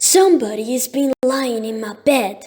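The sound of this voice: In a put-on character voice, a woman speaks gruffly at a high pitch and a moderate pace.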